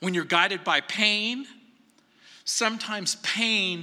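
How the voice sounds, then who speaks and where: A man speaks in a raised, projected voice with a bright, sharp tone. His pace is fairly slow and his intonation fairly even. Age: 60s. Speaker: pastor. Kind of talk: sermon. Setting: church.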